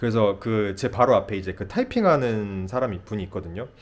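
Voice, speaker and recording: A man speaks at a moderate pace with a fairly low pitch. He has an unremarkable speaking voice with ordinary pitch variation. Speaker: nurse practitioner. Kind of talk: casual vlog storytelling.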